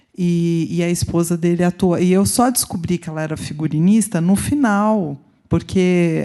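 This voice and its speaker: A woman's dark, mellow voice with a Brazilian accent, fairly low in pitch, at a moderate pace with fairly even intonation, over a quiet background. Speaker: researcher. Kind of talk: audience question at conference.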